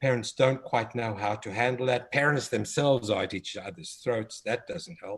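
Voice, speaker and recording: A somewhat breathy voice speaks in a South African accent. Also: man. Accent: South African, noticeable. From South Africa, Cape Town. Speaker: developmental pediatrician and children's author. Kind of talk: interview conversation. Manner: hesitant, many fillers.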